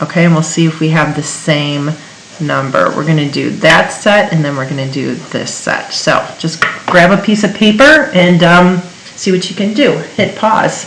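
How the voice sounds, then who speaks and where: Heard through audible room echo and noticeable background noise, the speech runs at a moderate pace with ordinary pitch variation. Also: woman, fairly low pitch for a woman. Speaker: chemistry teacher. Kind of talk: tutorial.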